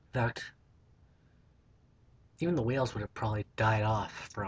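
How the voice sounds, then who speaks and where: A somewhat breathy man speaks with fairly low pitch and fairly even intonation. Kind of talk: casual talk to camera. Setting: built-in laptop microphone. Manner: mumbled, not always coherent.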